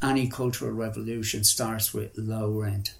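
The speaker is a man with a Dublin accent. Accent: Dublin Irish. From Dublin, Ireland (Ringsend). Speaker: artist and musician. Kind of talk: interview, life story. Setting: in his flat.

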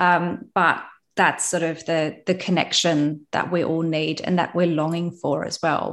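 Against a quiet background, a woman speaks at a fairly slow pace. Her intonation is monotone and flat. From Germany. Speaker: wellbeing retreat entrepreneur. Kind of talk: interview.

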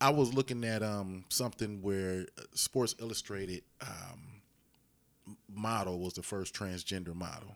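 Recorded very cleanly against a silent background, a man speaks fairly slowly in a plain, everyday voice. His pitch is fairly low with ordinary variation, and his loudness swings a lot. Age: 40s. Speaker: podcast host and DJ. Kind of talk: casual chat.

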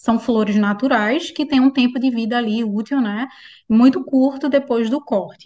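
Speaking at a moderate pace, a woman has a high pitch and a dark, mellow tone. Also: ordinary pitch variation. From Pernambuco, Brazil. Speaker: public procurement instructor. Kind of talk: explanatory interview chat.

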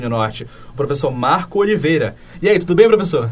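Amid noticeable background noise, a man talks in a high, animated voice at a fairly quick pace with very wide pitch swings. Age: 20s. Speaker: student podcast host. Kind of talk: casual podcast hosting.

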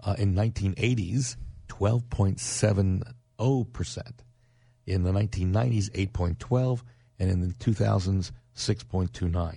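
A man's fairly low, dark and mellow voice, somewhat breathy, at a moderate pace with ordinary pitch variation. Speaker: real estate radio host. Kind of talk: radio talk show.

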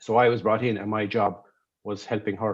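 Talking at a very fast pace in a Kerry accent, a man keeps a medium pitch and fairly even intonation. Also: quiet background. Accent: Kerry Irish. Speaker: artistic director of a folk theatre. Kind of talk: casual interview chat. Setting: video call. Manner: halting, many repetitions.

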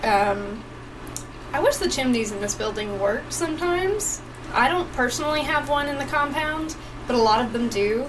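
Lively intonation amid audible room echo and noticeable background noise. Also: woman, high pitch for a woman, moderate pace. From East Tennessee (Johnson City). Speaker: podcast co-host. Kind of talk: casual live chat.

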